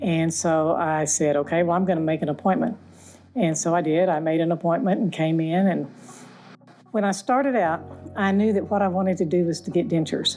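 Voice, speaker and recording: A woman talks at a fairly quick pace with a fairly low pitch and ordinary pitch variation. Her loudness stays very even, with music in the background. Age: 70s. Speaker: dental patient. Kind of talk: testimony.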